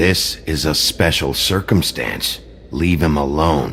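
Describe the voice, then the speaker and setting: A man's put-on character voice, very deep and low, at a fairly slow pace with clear background noise. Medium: video game. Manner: terse, gruff.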